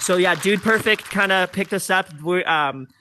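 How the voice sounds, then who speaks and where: A man with a high voice talks while noticeable background noise carries on. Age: 30s. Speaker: musician. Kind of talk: interview. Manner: casual, filler-heavy.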